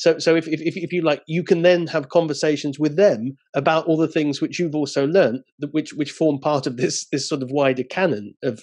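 Speaking at a fairly quick pace against a quiet background, a man shows ordinary pitch variation. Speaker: interviewer. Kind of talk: interview. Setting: video call. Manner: halting, many fillers. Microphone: video call.

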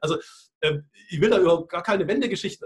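In a quiet background, a man with a high pitch talks with ordinary pitch variation. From Hungary (Budapest) and eastern Germany. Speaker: futurist and speaker; interview guest. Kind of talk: interview. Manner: halting, many fillers and repetitions. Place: office. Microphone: video call.

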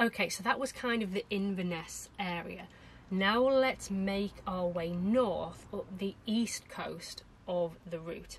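Very slowly, a woman speaks over light background noise. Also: ordinary pitch variation. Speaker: travel vlogger. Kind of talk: casual vlog chat. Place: home room.

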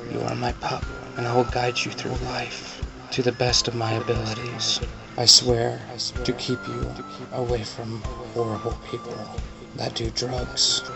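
A man speaking at a fairly slow pace, long and frequent pauses, clear music in the background. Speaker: expectant father. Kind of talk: heartfelt personal address. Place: home room. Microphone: phone near.

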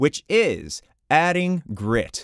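Against a quiet background, a man's voice comes through dry, with no echo. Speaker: voice coach youtuber. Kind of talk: tutorial. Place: studio. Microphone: studio mic.

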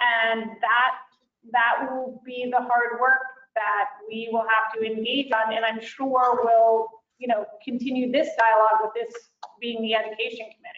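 Against a quiet background with audible room echo, a woman with a fairly high pitch speaks at a moderate pace in a monotone, flat intonation. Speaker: school board chair. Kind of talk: public committee meeting. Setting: video call. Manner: formal. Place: home room. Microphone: video call.

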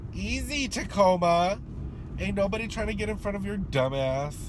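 A man speaks in a dry recording with no echo, though background noise is noticeable. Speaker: vlogger. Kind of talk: casual vlog chat. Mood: annoyed, sassy, joking. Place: car. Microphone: phone near.

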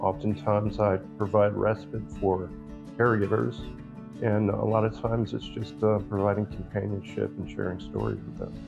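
A man talks at a moderate pace in a fairly low pitch. Clear music plays behind him. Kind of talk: interview answer. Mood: calm, earnest. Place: home room. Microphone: phone near.

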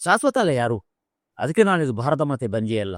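There is no echo at all on this man's dry, close-sounding voice. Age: 60s. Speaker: playwright. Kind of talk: interview.

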